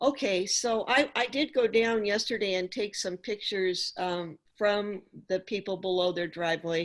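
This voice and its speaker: Heard over a quiet background, a plain, everyday voice moves at a fairly slow pace with ordinary pitch variation. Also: woman. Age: 60s. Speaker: applicant at public hearing. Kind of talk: public hearing testimony.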